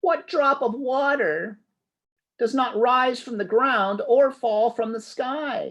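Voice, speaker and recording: The speaker uses a put-on character voice with a fairly high pitch. The delivery comes at a fairly slow pace. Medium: read story.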